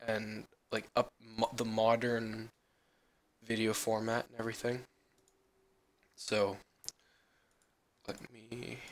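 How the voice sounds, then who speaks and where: Very slow, monotone male speech with flat intonation and long, frequent pauses. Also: medium pitch for a man. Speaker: gamer, tutorial maker. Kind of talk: screen-recorded software tutorial. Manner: casual, hesitant.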